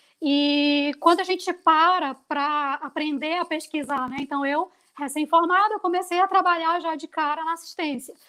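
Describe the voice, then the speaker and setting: A woman's raised, projected voice, extremely high and bright, sharp in tone, with fairly even intonation, a moderate pace and hardly any pauses, on a very clean recording with a silent background. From Brazil, Amazonas (Manaus). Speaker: university professor, pharmacist. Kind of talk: course welcome introduction. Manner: conversational, filler-heavy.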